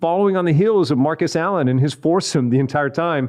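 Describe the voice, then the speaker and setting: A man talks very fast with a fairly high pitch. His pitch variation is ordinary. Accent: American. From Texas, Odessa. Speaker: radio and TV entertainment host. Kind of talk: casual chat.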